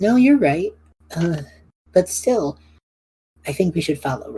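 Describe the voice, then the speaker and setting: This put-on character voice is raspy and sits at a middle pitch. It moves at a moderate pace. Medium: actual play.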